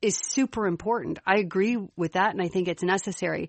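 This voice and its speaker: A woman with a slight Chicago accent talks at a moderate pace and a medium pitch. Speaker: podcast co-host. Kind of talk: casual chat.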